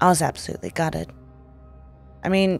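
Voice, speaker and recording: Music can be heard in the background. The speaker is a woman. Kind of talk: horror story narration.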